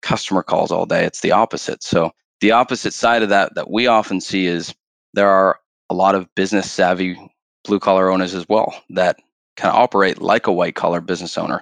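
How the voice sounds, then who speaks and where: In a Canadian accent, a man speaks at a fairly quick pace with a very deep, low pitch and monotone, flat intonation, the sound dry and close with no echo against a quiet background. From Canada. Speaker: sales director. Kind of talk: casual interview chat.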